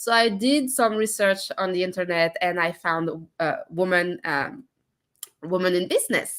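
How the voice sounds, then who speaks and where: At a moderate pace, a woman with a French accent speaks at a medium pitch with ordinary pitch variation. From France. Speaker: entrepreneur. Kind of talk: casual chat. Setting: live stream. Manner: hesitant, many fillers.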